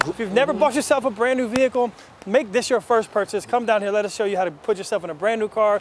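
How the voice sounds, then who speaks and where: Upbeat in tone, a man with a high pitch and ordinary pitch variation is heard against noticeable background noise in a dry sound with no echo. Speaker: car dealership host. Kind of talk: infomercial pitch, hard-sell dealership ad. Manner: fast, upbeat, salesy, repeats 'guys' constantly. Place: street.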